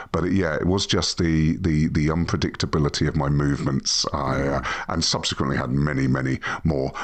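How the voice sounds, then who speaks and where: Noticeable background noise sits behind a man whose very deep, low pitch carries fairly even intonation. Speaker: founder and CEO of a workplace wellbeing company. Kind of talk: podcast interview. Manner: halting, repeats words.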